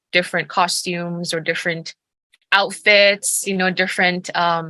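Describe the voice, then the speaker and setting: The woman's tone is bright and sharp, with a fairly low pitch. She speaks at a fairly slow pace. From Indonesian, raised in several countries. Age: young. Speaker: artist. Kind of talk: casual interview conversation. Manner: hesitant, many fillers.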